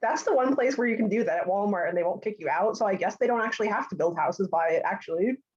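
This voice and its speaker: A woman speaks very fast with a New Jersey accent and hardly any pauses. Her pitch is medium and her intonation lively. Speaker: support group participant. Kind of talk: casual group chat. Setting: video call.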